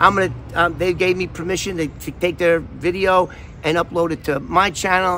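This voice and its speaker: A man talks with a New York accent in a high voice. His pace is fairly quick. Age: 60s. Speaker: vlogger, former FBI informant. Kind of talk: casual vlog talk. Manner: animated.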